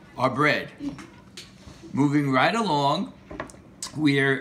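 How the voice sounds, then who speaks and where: Noticeable background noise fills the clip. A man speaks at a very slow pace. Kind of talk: playful cooking tutorial. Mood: jokey, playful. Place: kitchen. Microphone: camera far.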